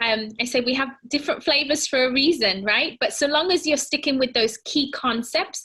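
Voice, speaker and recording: A woman's raised, projected voice with a British accent, high-pitched and bright, sharp in tone. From Britain. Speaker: fitness and nutrition presenter. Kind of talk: presentation. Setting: home. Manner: casual, warm, with fillers.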